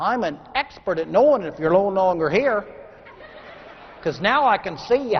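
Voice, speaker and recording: Over noticeable background noise, a man with an American accent and a high pitch speaks with lively intonation. He leaves long, frequent pauses. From Texas. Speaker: motivational speaker. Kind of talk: keynote speech. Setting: stage with audience. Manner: fast.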